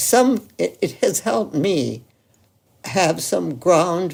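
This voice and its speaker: A woman with a dark, mellow tone and vocal fry speaks at a very slow pace, her pitch swinging very widely. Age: 80s+. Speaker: medical doctor. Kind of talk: interview answer.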